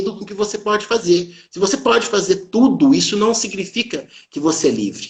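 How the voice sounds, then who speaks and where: The pitch is high for a male speaker. He talks at a moderate pace. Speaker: doctor giving motivational talk. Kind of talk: live stream talk.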